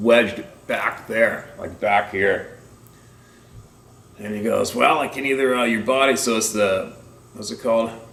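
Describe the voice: With a fairly low pitch, a fairly bright tone and some vocal fry, a man talks at a moderate pace with ordinary pitch variation amid audible room echo.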